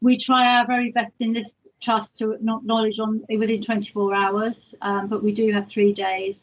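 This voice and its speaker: Speaking at a fairly slow pace, a woman has a somewhat breathy voice with fairly high pitch. Her intonation is monotone and flat. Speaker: hospital complaints manager. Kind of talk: presentation at online governors meeting.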